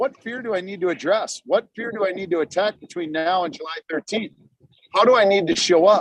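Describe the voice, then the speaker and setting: Loud and animated, a man with an American accent and a high voice talks at a fairly quick pace in a dry, close sound with no echo. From Minnesota. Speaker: real estate investor. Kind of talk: webinar talk. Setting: video call.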